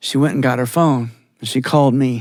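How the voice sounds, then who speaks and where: The pace here is moderate. A man talks in an American accent. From Georgia, US. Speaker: storyteller. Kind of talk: live storytelling performance.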